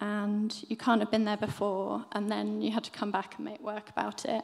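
Female speech against a quiet background. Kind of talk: presentation talk. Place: hall. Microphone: podium.

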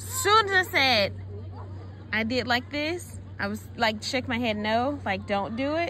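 A woman talking at a fairly slow pace with music in the background. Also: dry sound with no echo. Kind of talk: casual vlog chat, storytelling. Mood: amused, chatty. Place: beach. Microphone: phone near.

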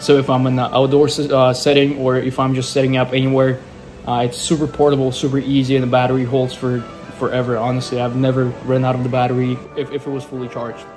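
Clear music plays in the background. The speech is very fast and delivered in a monotone, flat intonation. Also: man. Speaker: musician vlogger. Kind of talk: casual vlog chat. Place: home room. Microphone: phone near.

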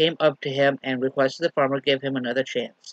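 Moderate pace, dry sound with no echo, quiet background. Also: man. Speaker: lay minister. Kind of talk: sermon. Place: home room. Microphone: webcam.

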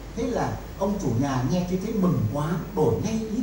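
Noticeable background noise and audible room echo surround the voice. Its pitch swings very widely. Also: man. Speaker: professor and researcher. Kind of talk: lecture storytelling to audience. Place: hall. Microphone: pa.

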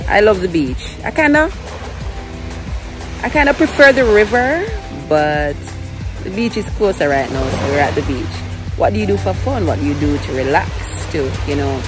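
With clear music in the background and a dry sound with no echo, the speaker moves at a moderate pace, leaving long, frequent pauses. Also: woman. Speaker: vlogger mother. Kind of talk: casual vlog chat. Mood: cheerful, relaxed. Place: beach. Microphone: phone near.

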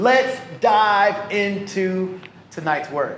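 Light background noise and audible room echo surround a man as he speaks. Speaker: pastor. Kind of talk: sermon. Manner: animated.

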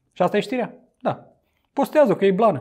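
Against a quiet background, a man talks at a very fast pace. His tone is animated, with very wide pitch swings. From Romania. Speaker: YouTuber commenting on news. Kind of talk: casual news commentary to camera. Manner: conversational, animated. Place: home room. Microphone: lapel.

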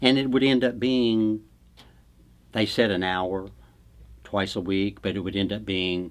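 A man with a very deep, low voice speaks at a moderate pace. His intonation stays fairly even. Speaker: spouse and caregiver of aphasia patient. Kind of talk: interview answer. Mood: pleased, appreciative. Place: studio.

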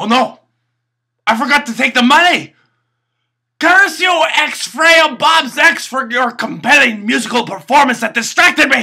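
A man puts on a character voice at an extremely high pitch, with ordinary pitch variation and a fairly slow pace. The tone is bright and sharp, with vocal fry.

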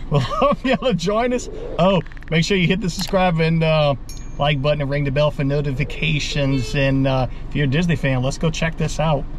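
A man at a moderate pace with ordinary pitch variation, in a dry sound with no echo and noticeable background noise. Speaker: family vlogger. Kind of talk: casual vlog chat. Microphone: phone near.

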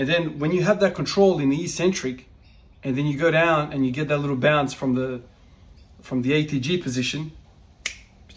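A somewhat breathy man speaks at a fairly quick pace against light background noise. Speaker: strength training vlogger. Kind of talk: casual vlog chat. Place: gym. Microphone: phone near.

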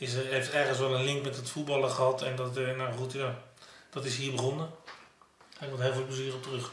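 Delivery is fairly quick yet broken by long, frequent pauses, with monotone, flat intonation. Light background noise and audible room echo are present. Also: man. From Netherlands, South Holland (Pijnacker); South Holland, Netherlands. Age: 50s. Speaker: former professional footballer. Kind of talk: interview. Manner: halting. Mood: reflective, nostalgic. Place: home room.

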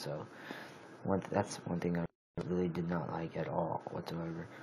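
In light background noise, a man speaks at a moderate pace. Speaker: amateur phone reviewer. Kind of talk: casual product review. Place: home room. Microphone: phone near.

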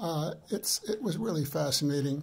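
A somewhat breathy man's voice at a fairly high pitch, with a dark, mellow tone. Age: 80s. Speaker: product reviewer. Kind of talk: product review. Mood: warm, enthusiastic, unhurried. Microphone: phone near.

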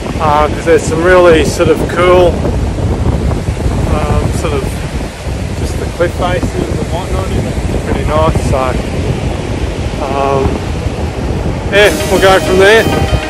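A very slow man with long, frequent pauses, recorded dry with no echo over loud background noise. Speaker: travel vlogger. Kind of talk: casual vlog chat. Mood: relaxed, easygoing. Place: beach. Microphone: phone near.

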